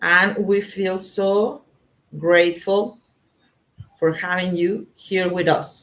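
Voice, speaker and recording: A woman's medium-pitched voice in a Spanish accent, very slow and flat, with long, frequent pauses. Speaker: tarot reader. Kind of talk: live tarot reading stream. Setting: live online broadcast. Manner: halting.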